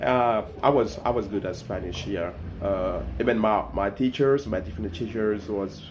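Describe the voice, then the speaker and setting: A man with a French accent, fairly low in pitch, at a moderate pace. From Ivory Coast (Abidjan). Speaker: content creator. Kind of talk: casual storytelling vlog. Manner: halting, many repetitions and fillers.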